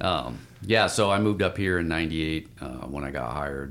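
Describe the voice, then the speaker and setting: Very deep and low, this man's voice carries vocal fry and an American accent. He speaks at a fairly quick pace with ordinary pitch variation. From Spokane, Washington, US. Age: 50s. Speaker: firefighter. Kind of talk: interview.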